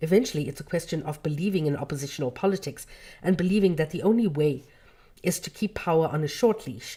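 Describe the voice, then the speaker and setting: A woman's very deep, low voice, somewhat breathy and dark, mellow in tone, with lively intonation at a very fast pace. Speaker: livestream host reading books aloud. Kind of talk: reading aloud with commentary. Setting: livestream.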